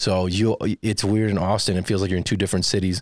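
A man's very deep, low voice in a monotone, flat delivery at a very fast pace, with an American accent, on a very clean recording with a silent background. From Texas, San Antonio. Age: 30s. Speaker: stand-up comedian and podcast producer. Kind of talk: casual interview chat.

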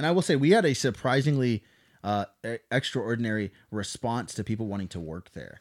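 A man with an American accent and a plain, everyday voice, medium pitch, lively intonation, big swings in loudness and a fairly quick pace, in a dry, close sound with no echo and a very clean recording with a silent background. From US Midwest, southern Missouri (Ozarks). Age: 20s. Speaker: small business owner, army veteran. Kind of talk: casual chat. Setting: studio.

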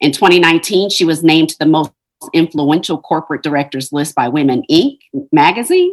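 A woman with an American accent speaks in a plain, everyday voice at a moderate pace. Her pitch is fairly low, with ordinary pitch variation. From Ohio. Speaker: podcast host. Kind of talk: interview; scripted introduction.

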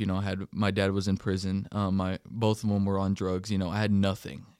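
In a very clean recording with a silent background, a man talks fairly quickly in a fairly low, monotone, flat voice. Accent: West Texas. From Texas, Denver City. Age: young. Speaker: associate pastor. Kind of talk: casual chat.

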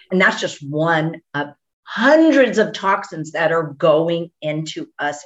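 A woman with an American accent has a plain, everyday voice at a fairly low pitch. She talks at a fairly slow pace. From Texas. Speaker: physician. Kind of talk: interview.

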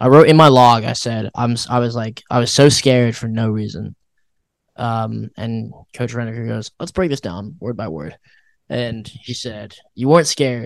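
A man talks in a normal speaking voice at a moderate pace, with medium pitch and ordinary pitch variation. His loudness swings widely. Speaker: college runner and podcast co-host. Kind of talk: casual chat.

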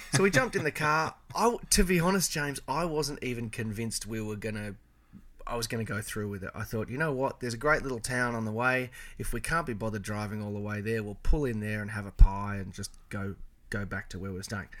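At a very fast pace, a man with a medium pitch speaks with lively intonation and big swings in loudness. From Melbourne, Australia. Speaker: car enthusiast and content creator. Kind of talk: casual chat.

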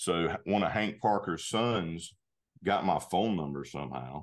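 Against a quiet background, a man speaks with a very deep, low pitch, vocal fry and ordinary pitch variation. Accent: Southern US. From US South, North Carolina. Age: 40s. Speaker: outdoor gear company spokesman. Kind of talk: casual interview.

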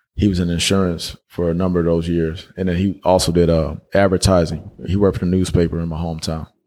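Speaking at a very fast pace with hardly any pauses, a man with an American accent has a very deep, low pitch, a dark, mellow tone and monotone, flat intonation. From US South, Dalton, northwest Georgia. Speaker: author. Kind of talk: casual interview. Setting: in person with host.

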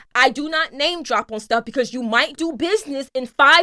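A woman with a high pitch uses a raised, projected voice at a moderate pace. Her tone is bright, sharp and animated, with lively intonation. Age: 30s. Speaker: podcast co-host. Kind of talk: casual chat.

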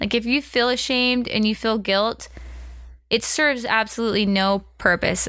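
A woman's plain, everyday voice with an American accent, fairly high in pitch, with fairly even intonation and a moderate pace. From Utah. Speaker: podcast host. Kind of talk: casual chat.

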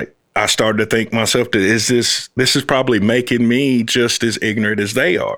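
A man with an American accent and an unremarkable speaking voice talks at a fairly quick pace, with hardly any pauses. His pitch is medium, his intonation fairly even and his loudness very even. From US South, Fort Valley, Georgia. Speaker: uncle of the host, father. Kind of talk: casual conversation.

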